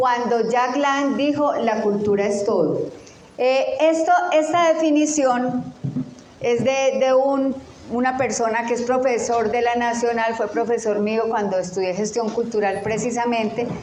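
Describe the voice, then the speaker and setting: A woman's high voice at a fairly slow pace, ordinary pitch variation, audible room echo and noticeable background noise. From Colombia. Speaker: teacher. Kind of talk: lecture.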